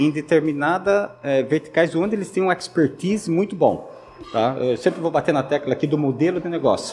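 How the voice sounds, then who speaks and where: With music in the background, a man speaks at a moderate pace using ordinary pitch variation. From Brazil, Santa Catarina (Joinville). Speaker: tech company CEO. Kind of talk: interview.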